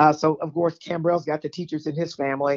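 In a Southern US accent, a woman speaks with a very deep, low pitch and monotone, flat intonation. The sound is dry and close, with no echo. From Texas, Houston. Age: 50s. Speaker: caller. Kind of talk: casual chat. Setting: phone call.

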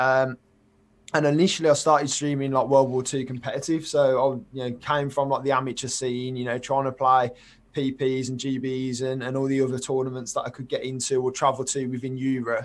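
Here a man talks at a fairly quick pace and a medium pitch. His intonation is monotone and flat. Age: 20s. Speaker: twitch streamer. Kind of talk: casual chat.

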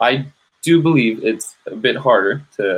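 A man is speaking with a Spanish accent. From Colombia, moved to San Jose, California at eight. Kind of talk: casual chat. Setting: video call.

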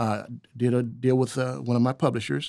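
A man speaks at a fairly quick pace with a normal speaking voice and medium pitch. The recording is very clean, with a silent background, and his pitch varies in an ordinary way. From Oklahoma (moved from Milwaukee as a child). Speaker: jazz guitarist and author. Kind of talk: casual interview.

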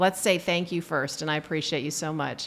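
An ordinary speaking voice from a woman at a fairly quick pace, with fairly even intonation. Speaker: podcast host and optometrist. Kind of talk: casual interview. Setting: on location at a conference.

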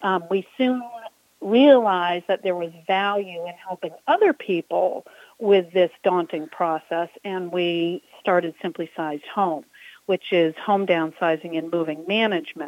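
A woman with a fairly low pitch speaks at a fairly slow pace in an ordinary speaking voice, with ordinary pitch variation. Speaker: business owner, home organizing and downsizing. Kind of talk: casual interview.

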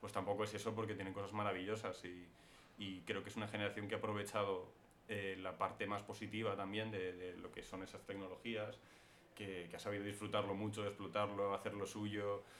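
Intonation is monotone and flat as a man talks at a fairly quick pace with a fairly low pitch. Audible room echo and noticeable background noise fill the recording. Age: 20s. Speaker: screenwriter. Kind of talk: interview.

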